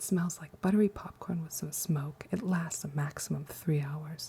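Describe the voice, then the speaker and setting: The speaker is soft-spoken and talks at a fairly quick pace. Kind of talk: ASMR perfume review. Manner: soft-spoken, quiet.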